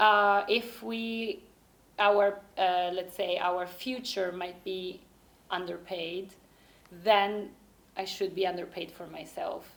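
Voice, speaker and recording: A woman with an Italian accent speaks at a very slow pace in a medium pitch, with long, frequent pauses and big swings in loudness. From Italy. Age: 30s. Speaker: university lecturer. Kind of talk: interview. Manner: halting.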